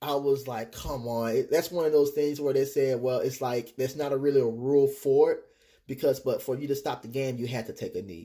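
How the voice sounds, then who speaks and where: This man has an American accent and a fairly high pitch, with a dark, mellow, somewhat breathy tone. His intonation stays fairly even as he talks at a fairly quick pace. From Texas. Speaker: quidditch snitch runner. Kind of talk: casual interview.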